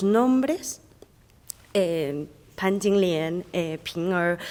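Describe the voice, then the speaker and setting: Over noticeable background noise, a woman with a Chinese accent and a medium pitch speaks very slowly. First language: Chinese (speaking Spanish). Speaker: audience member. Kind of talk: audience question. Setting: library event with audience. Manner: halting, many fillers.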